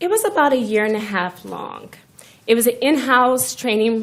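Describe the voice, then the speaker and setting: At a moderate pace, a woman talks in an unremarkable speaking voice, her pitch shifting in an ordinary way. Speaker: forensic scientist testifying as witness. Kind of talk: courtroom testimony. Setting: courtroom.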